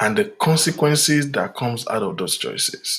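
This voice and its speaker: A man's fairly high, bright, sharp voice with vocal fry, very wide pitch swings and a fairly slow pace. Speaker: relationship talk host. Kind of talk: live talk.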